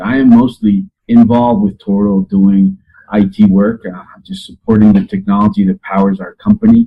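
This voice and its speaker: The speaker is a man with a Spanish accent. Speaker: IT specialist. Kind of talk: casual interview.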